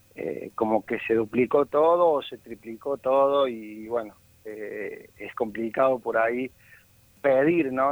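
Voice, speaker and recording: Medium-pitched male voice, fairly slow in pace. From Argentina, Córdoba. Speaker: amateur football goalkeeper and charity organizer. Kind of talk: phone interview. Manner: halting, repeats words.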